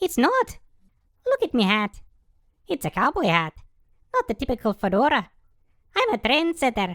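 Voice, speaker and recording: A put-on character voice, female-sounding and high-pitched, at a moderate pace with long, frequent pauses. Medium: audio drama. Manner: defensive, prickly.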